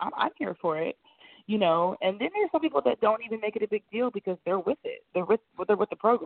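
Very fast American-accented speech with very wide pitch swings. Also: woman, fairly high pitch for a woman. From rural Ohio, US Midwest. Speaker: fashion model. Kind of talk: interview.

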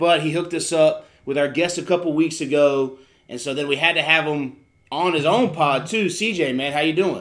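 The man's voice sits fairly high in pitch and has a fairly bright tone. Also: ordinary pitch variation, moderate pace.

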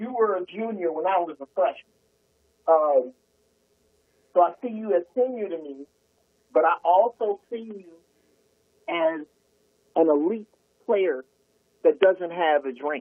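Speaking at a fairly slow pace, a man uses a high pitch and lively intonation. His loudness swings widely, and he leaves long, frequent pauses. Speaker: comedian. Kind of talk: casual chat. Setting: phone call. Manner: animated.

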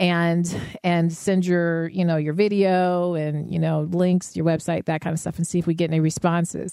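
At a moderate pace, a woman with an American accent speaks in a dark, mellow tone, her pitch fairly low and her intonation monotone and flat. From US, Denver. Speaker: podcast co-host and artist. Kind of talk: casual chat.

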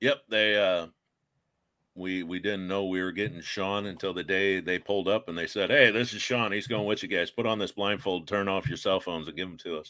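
Speaking with an American accent in an ordinary speaking voice, a man talks fairly quickly at a fairly low pitch. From Iowa. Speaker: paranormal investigator. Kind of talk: casual chat.

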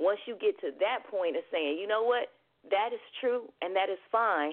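A woman's medium-pitched voice carries lively intonation. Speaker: singer-songwriter and life coach. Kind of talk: radio talk show interview. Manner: animated.

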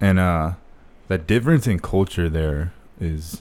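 Here a man is speaking. He has an American accent. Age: 20s. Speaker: former marine. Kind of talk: casual chat. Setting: home studio.

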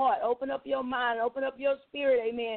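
Her pitch is high, and her intonation fairly even. The woman talks at a fairly quick pace. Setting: radio broadcast.

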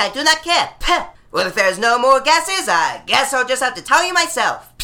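Over noticeable background noise, a woman with a raised, projected voice speaks at a fairly quick pace with hardly any pauses and very wide pitch swings. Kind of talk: over-the-top game show host parody, played for laughs with crowd interaction. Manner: playful and theatrical, pausing for imagined audience guesses and applause.

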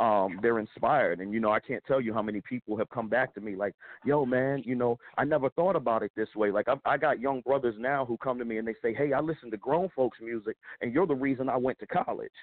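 A man with an American accent at a very fast pace, medium pitch and ordinary pitch variation. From Pennsylvania, US. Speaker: hip hop artist and filmmaker. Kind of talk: casual radio interview.

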